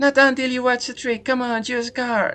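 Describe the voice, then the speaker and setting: At a moderate pace, a put-on character voice holds a fairly high pitch with monotone, flat intonation. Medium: game stream. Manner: pushy, cheeky.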